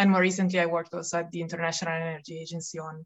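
A woman speaks with an Italian accent. Her pitch sits fairly low. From Italy. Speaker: climate economics researcher. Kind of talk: interview. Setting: remote call.

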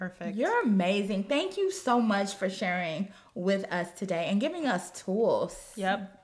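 With an American accent, a woman speaks at a fairly slow pace with hardly any pauses and ordinary pitch variation. Noticeable background noise runs underneath. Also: medium pitch for a woman. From US Midwest. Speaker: podcast co-host. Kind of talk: casual chat. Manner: playful, laughs often.

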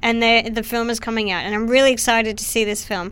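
A woman with an Australian accent talks at a fairly quick pace with a fairly high pitch. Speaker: filmmaker. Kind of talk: casual interview chat. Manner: quiet, soft-spoken.

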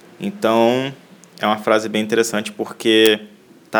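This man's fairly low voice stays monotone and flat throughout. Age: 20s. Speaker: podcast host, university student. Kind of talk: solo podcast introduction.

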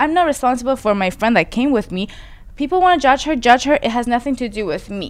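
A woman's high-pitched, very fast delivery with lively intonation and a Persian accent. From Iran. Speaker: podcast host. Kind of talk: casual chat.

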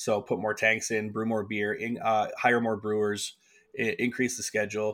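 A man's medium-pitched, flat, monotone voice at a moderate pace, in a very clean recording with a silent background. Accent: Canadian. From Canada, rural Manitoba near Winnipeg. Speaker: head brewer. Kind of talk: interview.

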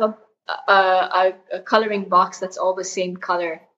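Speaking with an Arabic accent, a woman keeps a fairly slow pace. Her tone is bright and sharp. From Saudi Arabia, Jeddah. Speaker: mountaineer. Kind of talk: interview.

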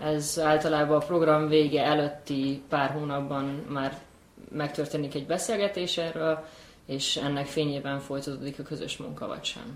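A woman's very deep, low voice at a moderate pace, with fairly even intonation and audible room echo. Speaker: graduate program alumna, executive assistant. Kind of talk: casual chat.

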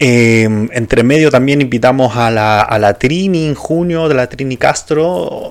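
Noticeable background noise is present. Over it, a man talks with ordinary pitch variation. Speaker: podcast host. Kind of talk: solo casual monologue. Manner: hesitant, many fillers.

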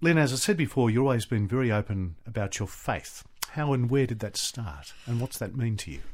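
A man's medium-pitched voice with an Australian accent, fairly quick, with lively intonation. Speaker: radio host. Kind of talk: casual interview.

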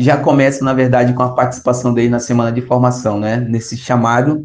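This man's voice sits at a medium pitch, and he moves at a fairly quick pace. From Brazil, Arapiuns river, Pará. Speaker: youth pastoral organizer. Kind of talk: interview over messaging app. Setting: recorded remotely via app.

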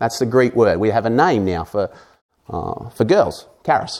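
In an Australian accent, a man speaks with a dark, mellow tone. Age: 40s. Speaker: pastor. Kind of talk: sermon.

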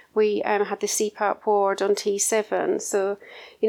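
A woman at medium pitch with a Scottish accent, in a very clean recording with a silent background. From Scotland. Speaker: intensive care nurse matron. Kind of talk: interview.

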